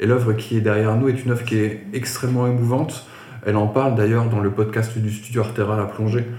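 Over noticeable background noise and audible room echo, a man talks at a fairly quick pace in a monotone, flat intonation. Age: 30s. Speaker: art agency co-founder. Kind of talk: interview conversation. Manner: halting, many repetitions.

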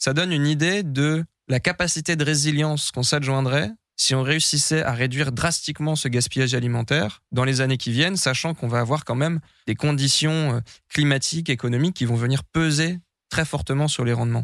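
With a normal speaking voice, a man talks at a fairly high pitch and a fairly quick pace, his loudness very even and the sound dry and close with no echo. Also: ordinary pitch variation. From France, Brie east of Paris. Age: 20s. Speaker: investment officer for ecological transition projects. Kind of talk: podcast monologue.

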